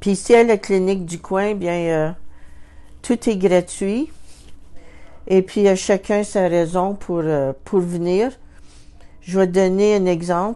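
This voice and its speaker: Very slowly and with long, frequent pauses, a woman speaks at medium pitch in a dark, mellow tone with ordinary pitch variation. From Northern Ontario (Sudbury), Canada. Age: 60s. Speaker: community health clinic client. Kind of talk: interview testimony. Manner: hesitant, with fillers and repetitions.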